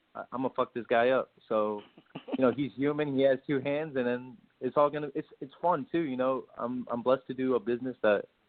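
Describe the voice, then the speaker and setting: A man with an American accent and a plain, everyday voice speaks at a medium pitch. His pace is fairly quick and his intonation fairly even. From US South, Miami. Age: 20s. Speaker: professional boxer. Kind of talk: casual interview chat.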